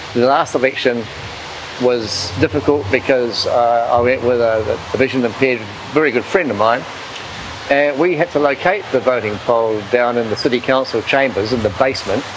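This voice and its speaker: A man talks with a New Zealand accent at medium pitch, ordinary pitch variation and a moderate pace. His loudness stays very even against noticeable background noise. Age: 70s. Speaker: blind voter. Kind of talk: interview testimony.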